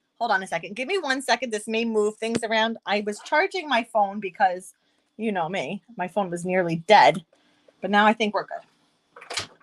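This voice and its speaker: A woman with a New York accent speaks at a moderate pace in a fairly high voice. The sound is dry and close, with no echo. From upstate New York. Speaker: craft demonstrator. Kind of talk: live-streamed craft tutorial. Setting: live stream. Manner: animated.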